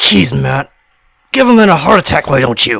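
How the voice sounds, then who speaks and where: This man does a put-on character voice that is growling, raspy and shaky. He talks at a moderate pace and medium pitch. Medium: read story. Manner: jumpy, then growling.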